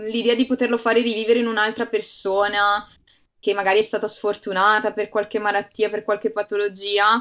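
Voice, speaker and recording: A woman speaks in a plain, everyday voice. Her pitch is medium and her pace moderate. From Bergamo, northern Italy. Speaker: medical student. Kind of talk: casual chat.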